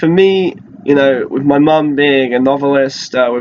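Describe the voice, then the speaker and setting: This man has a British accent. He talks at a fairly high pitch. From Britain. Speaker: flight attendant and minimalism vlogger. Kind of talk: casual vlog monologue. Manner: casual with frequent fillers.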